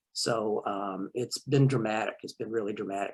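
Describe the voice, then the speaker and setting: A man is speaking. His voice has vocal fry. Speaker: college instructor. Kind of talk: panel meeting remarks. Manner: fast; halting with fillers.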